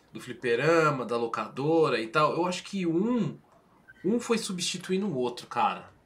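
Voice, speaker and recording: Over noticeable background noise, a man speaks at a moderate pace. His fairly high voice swings very widely in pitch. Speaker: gaming channel host. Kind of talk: casual chat. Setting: live stream.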